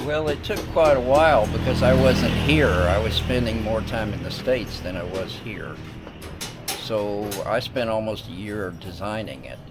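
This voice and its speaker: Over music in the background, a man with an American accent talks at a moderate pace with lively intonation. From US South, North Carolina. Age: 70s. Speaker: retired military veteran. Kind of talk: casual interview on a house tour.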